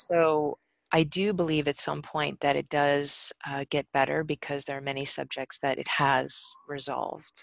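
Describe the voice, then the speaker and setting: A woman speaks in a very deep, low voice at a fairly slow pace. Her intonation stays flat and monotone. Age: 40s. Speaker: wellness practitioner. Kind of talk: podcast interview. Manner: hesitant with many fillers.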